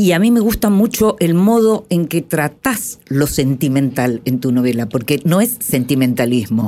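A woman's very deep, low voice at a fairly slow pace, very even in loudness, with very wide pitch swings and hardly any pauses. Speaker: radio host. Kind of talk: radio interview; scripted narration.

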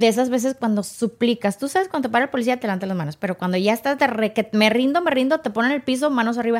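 A woman speaks in an ordinary speaking voice with fairly high pitch. Her pitch varies in an ordinary way, and the recording is very clean with a silent background. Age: 40s. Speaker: former radio and TV presenter. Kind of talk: testimony.

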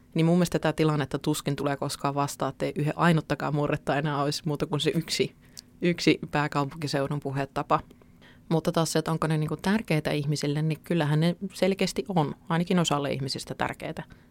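A woman's very deep, low voice at a very fast pace, fairly even in intonation, with a dry, close sound and no echo. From Central Finland (Keuruu). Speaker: newspaper journalist. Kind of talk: podcast interview.

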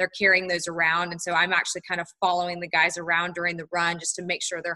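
A woman with an American accent speaks at a fairly low pitch in a bright, sharp tone, recorded with a dry, close sound and no echo. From US South, North Carolina (Charlotte). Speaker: sports nutritionist. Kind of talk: interview. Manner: frequent fillers (um, like).

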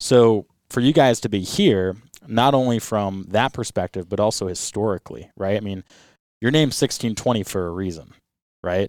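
An unremarkable speaking voice with an American accent moves at a moderate pace with ordinary pitch variation, in a very clean, dry, close recording with a silent background and no echo. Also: man, fairly low pitch for a man. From US Northeast, Rhode Island. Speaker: podcast host, boat captain. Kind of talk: casual interview chat.

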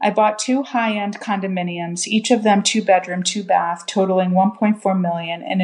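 At a moderate pace, a woman with a plain, everyday voice talks at medium pitch with fairly even intonation. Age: 40s. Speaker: caller. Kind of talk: recorded question.

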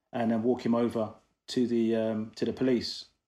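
Here is a man with a London accent and medium pitch. He talks at a fairly quick pace in monotone, flat intonation. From London, England. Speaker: equal rights activist. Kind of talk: interview.

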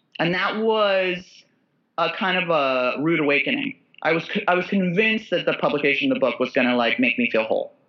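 At a fairly quick pace, a woman holds very even loudness while her pitch swings very widely. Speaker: author and comedian. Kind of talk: casual chat.

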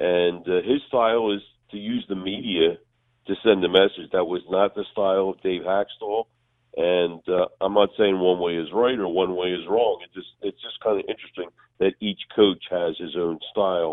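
A man's very deep, low voice at a moderate pace, with fairly even intonation and big swings in loudness. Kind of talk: radio interview. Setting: phone call. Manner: halting with fillers.

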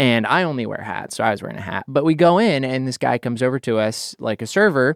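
Recorded with a dry, close sound and no echo, a man with an American accent speaks at a medium pitch with lively intonation. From Idaho, US. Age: 20s. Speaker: podcast host. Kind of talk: casual chat. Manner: self-deprecating, joking.

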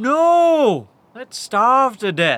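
In a put-on character voice, a man speaks at an extremely high pitch and a very slow pace, his tone fairly bright and his pitch swinging widely.

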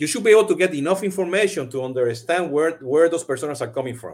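Here a man talks at a very fast pace. His fairly high voice has lively intonation. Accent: Puerto Rican. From Puerto Rico. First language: Spanish. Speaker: CRM podcast host. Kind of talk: live-streamed interview. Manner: many fillers and repetitions.

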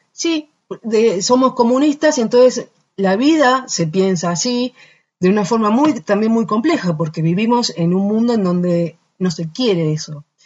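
A woman's fairly high voice swings very widely in pitch. She sounds somewhat breathy and speaks at a fairly slow pace. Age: 40s. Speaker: singer. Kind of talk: casual interview. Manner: halting.

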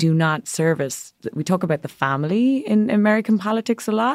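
A woman with an Irish accent speaks at a moderate pace with ordinary pitch variation. The sound is dry and close with no echo, a very clean recording with a silent background. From Ireland. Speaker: magazine editor. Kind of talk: casual interview.

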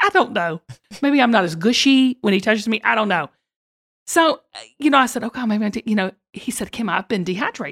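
An animated speaker with a Southern US accent talks at a fairly quick pace with lively intonation, recorded very cleanly with a silent background and a dry, close sound with no echo. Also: woman. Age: 50s. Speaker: podcast host. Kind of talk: casual chat.

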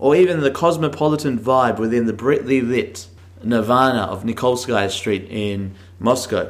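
A man speaks with an Australian accent and ordinary pitch variation. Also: medium pitch for a man, moderate pace. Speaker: travel podcast host. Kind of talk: casual audio diary; scripted narration.

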